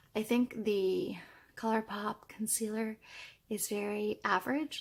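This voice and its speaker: A somewhat breathy woman's voice, fairly high in pitch, with a dark, mellow tone. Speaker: beauty youtuber. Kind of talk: casual video check-in. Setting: home at night. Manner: soft-spoken.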